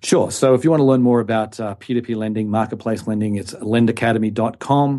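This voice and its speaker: A man with an Australian accent talks at a fairly quick pace in a dark, mellow tone, his medium pitch held in fairly even intonation. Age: 50s. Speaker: investment expert. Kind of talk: interview. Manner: halting, many fillers.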